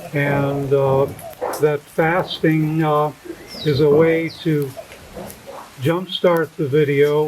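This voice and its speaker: A man with an American accent, fairly high in pitch, very slow and monotone, with long, frequent pauses over noticeable background noise. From United States. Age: 70s. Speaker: fasting retreat client. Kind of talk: interview. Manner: halting, many fillers.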